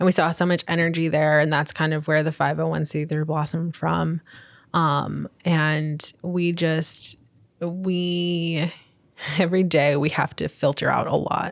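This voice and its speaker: A woman with an American accent speaks at a fairly slow pace in a very deep, low voice, her intonation monotone and flat, on a very clean recording with a silent background. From New York, Long Island. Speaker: community organizer. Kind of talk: interview.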